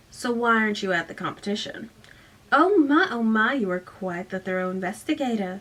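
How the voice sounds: This is a natural reading voice. It reads as a natural reading voice throughout.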